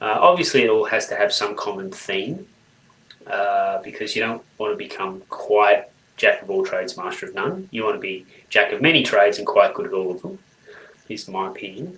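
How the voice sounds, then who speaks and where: Speaking with an Australian accent, a man keeps a moderate pace and swings widely in loudness. Noticeable background noise is present. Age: 40s. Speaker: people development professional. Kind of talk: interview.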